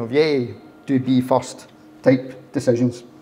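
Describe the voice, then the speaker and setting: A man with a Glaswegian accent and fairly even intonation. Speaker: agile consultant, speaker. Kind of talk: meetup talk. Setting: meetup with live audience.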